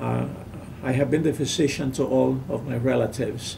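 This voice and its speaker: Audible room echo colors a man's speech, and noticeable background noise is present. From Puerto Rico, Lares. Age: 70s. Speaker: physician. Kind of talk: interview. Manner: halting.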